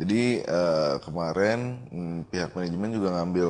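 Very deep, low pitch from a man, varying in an ordinary way. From Jakarta; Indonesia. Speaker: waterpark owner and entrepreneur; guest. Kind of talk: casual interview. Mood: relaxed casual chat. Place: studio. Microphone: studio mic.

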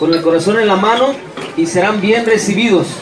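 Noticeable background noise behind a man speaking with ordinary pitch variation. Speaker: event announcer. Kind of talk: public announcement speech. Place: hall. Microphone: pa.

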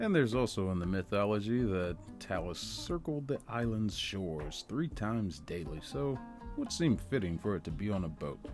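A man's fairly low voice with lively intonation at a moderate pace, music in the background. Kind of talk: casual movie trailer review commentary. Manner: sarcastic.

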